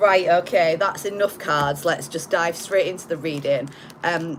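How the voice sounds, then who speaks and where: Against noticeable background noise, a woman with a fairly low voice speaks at a fairly slow pace and with fairly even intonation. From northern England, Hull, Yorkshire. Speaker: tarot reader. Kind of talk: live-streamed tarot reading. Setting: live stream. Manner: casual, with filler words.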